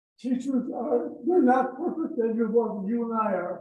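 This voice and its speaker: Audible room echo surrounds a man whose high voice carries lively intonation at a moderate pace. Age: 90s. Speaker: club member. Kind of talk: casual speech at club meeting. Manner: halting.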